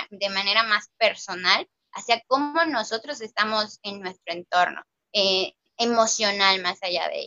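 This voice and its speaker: Here a woman speaks at a moderate pace with a fairly high pitch. She has an ordinary speaking voice. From Mexico, Mérida (Yucatán). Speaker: book discussion panelist. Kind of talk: casual book discussion.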